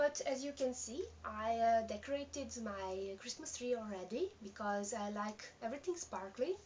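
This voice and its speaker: Over noticeable background noise, a woman with a non-native accent speaks at a fairly high pitch with lively intonation. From Serbia. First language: Serbian. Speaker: knitting podcaster. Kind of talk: casual video podcast. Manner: halting, many fillers.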